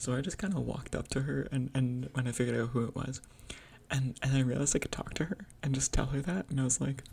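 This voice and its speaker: The pace is fairly quick. A woman whispers throughout. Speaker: gaming video creator. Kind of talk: unscripted rant. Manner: whispering; halting.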